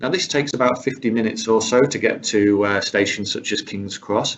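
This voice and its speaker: A man with a fairly low pitch delivers his words at a fairly quick pace. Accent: British. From UK. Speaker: rail travel specialist presenter. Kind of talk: webinar presentation. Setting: online webinar.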